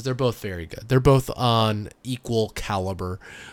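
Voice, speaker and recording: At a moderate pace, a man speaks in an unremarkable speaking voice of medium pitch. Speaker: podcast host. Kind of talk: casual chat. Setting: remote recording. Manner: laid-back, chatty.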